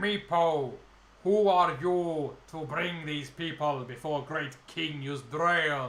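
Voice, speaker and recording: A man uses a booming, put-on character voice, fairly high in pitch. He speaks at a very slow pace, and an echo is audible. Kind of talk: regal, commanding.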